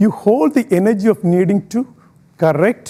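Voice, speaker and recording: With an Indian accent, a high-pitched man speaks in a dark, mellow tone with lively intonation. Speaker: public speaker. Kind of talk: inspirational talk.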